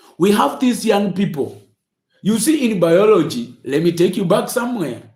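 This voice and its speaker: A man is speaking. There is audible echo from the room. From Kenya. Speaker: motivational speaker. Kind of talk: inspirational talk. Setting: livestream. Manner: halting.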